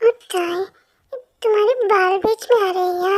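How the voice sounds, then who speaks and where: Using a squeaky put-on character voice at an extremely high pitch, a woman speaks at a moderate pace with fairly even intonation in a dry, close recording with no echo. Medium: read story. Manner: warm, chatty.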